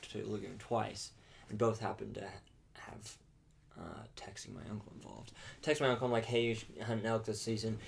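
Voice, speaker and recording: Very fast male speech with vocal fry, fairly even intonation and audible room echo. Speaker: podcast co-host. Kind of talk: casual chat. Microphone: quieter than co-host's.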